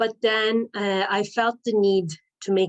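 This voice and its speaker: The speaker talks at a fairly slow pace in a Turkish accent, with monotone, flat intonation. The background is quiet. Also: woman. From Turkey, Istanbul. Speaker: life coach. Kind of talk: personal storytelling.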